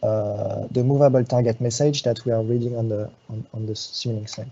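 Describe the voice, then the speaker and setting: Monotone, flat speech from a man of medium pitch, somewhat breathy, at a moderate pace. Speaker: software support engineer. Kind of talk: live tutorial. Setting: live web workshop. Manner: halting, many fillers.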